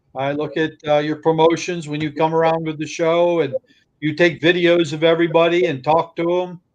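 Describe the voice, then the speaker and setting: A man with a fairly high pitch talks at a fairly quick pace using monotone, flat intonation. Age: 70s. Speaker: model train company CEO. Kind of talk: casual interview chat.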